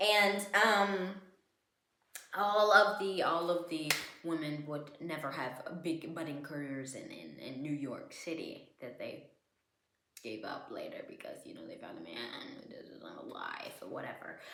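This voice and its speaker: The voice mumbles at a fairly slow pace, with very wide pitch swings and big swings in loudness. Audible room echo surrounds it. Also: woman, fairly low pitch for a woman. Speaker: podcaster. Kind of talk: casual rant. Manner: halting, repetitive; mumbling.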